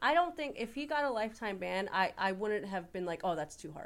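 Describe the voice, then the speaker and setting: Speaking at a fairly quick pace in a medium pitch, a woman swings her pitch very widely, with audible room echo around her. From North Jersey. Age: 30s. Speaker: church employee and Yankees fan. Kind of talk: casual chat. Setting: church.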